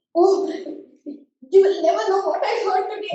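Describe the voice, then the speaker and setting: A woman puts on a squeaky character voice at an extremely high pitch. She keeps a moderate pace, with a slight echo. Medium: stage play. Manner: excitable, giggly.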